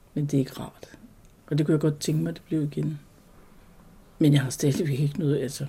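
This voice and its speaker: A woman's voice, somewhat breathy, carries a dark, mellow tone. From Jutland, Denmark. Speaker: Christiania resident. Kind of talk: interview, personal recollection.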